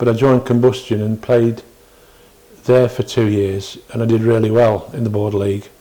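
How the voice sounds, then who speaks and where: Here a man speaks with a Derbyshire accent at a medium pitch. His intonation is monotone and flat, at a moderate pace. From northern England. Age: 60s. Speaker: retired cricketer. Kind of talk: oral history interview. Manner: halting.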